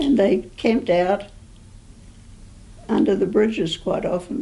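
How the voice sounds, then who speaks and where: A woman's somewhat breathy voice, dark and mellow in tone, medium in pitch, with ordinary pitch variation and a fairly slow pace. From New Zealand. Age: 80s+. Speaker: oral history interviewee. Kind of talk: oral history interview. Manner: halting.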